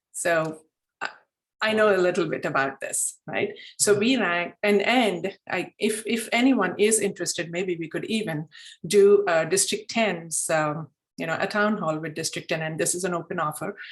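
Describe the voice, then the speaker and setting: A woman of medium pitch speaks with a Telugu accent. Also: ordinary pitch variation, moderate pace. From India. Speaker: club mentor and former district leader. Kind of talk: online meeting discussion.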